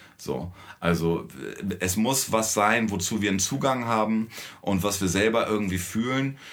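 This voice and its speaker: A man's voice at a moderate pace with very even loudness and ordinary pitch variation, plus audible room echo. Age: 40s. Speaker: musician in a children's band. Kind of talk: casual interview.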